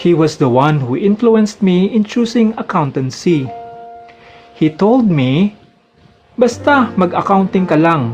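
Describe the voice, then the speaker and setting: A man speaks with music playing behind him, his pitch high and swinging very widely. His loudness stays very even, broken by long, frequent pauses. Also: fairly slow pace. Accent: Filipino. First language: Tagalog. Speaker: accountant. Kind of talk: personal memoir narration.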